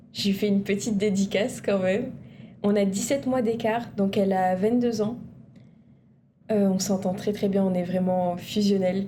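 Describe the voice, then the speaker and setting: A woman with a somewhat breathy, dark, mellow tone speaks at a fairly slow pace in a monotone, flat intonation, with very even loudness, long, frequent pauses and audible room echo. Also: medium pitch for a woman. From Réunion, Saint-André. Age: 20s. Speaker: university student. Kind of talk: TV interview.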